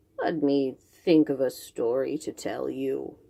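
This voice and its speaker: In a put-on character voice, a woman growls at a fairly slow pace with a very deep, low pitch. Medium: read story. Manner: slow, drowsy.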